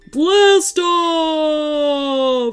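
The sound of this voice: This is a put-on character voice, pitched high. It comes out as bellowing.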